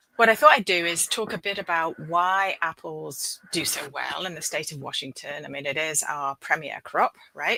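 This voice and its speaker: Speaking with a British accent, a woman keeps a moderate pace with hardly any pauses. Her loudness swings widely, and the sound is dry and close with no echo. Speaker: professor and apple breeder. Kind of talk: presentation.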